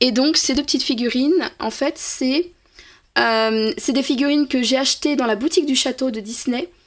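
A woman speaks at a high pitch and a moderate pace, with ordinary pitch variation. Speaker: reborn doll artist and youtuber. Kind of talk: casual vlog. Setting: at home in doll nursery. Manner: hesitant, many filler sounds.

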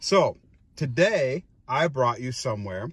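A somewhat breathy man at a very slow pace against a quiet background. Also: dry sound with no echo. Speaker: granddaughter or grandson, channel's video maker and family member. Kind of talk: casual conversation with family. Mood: playful, warm. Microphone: phone near.

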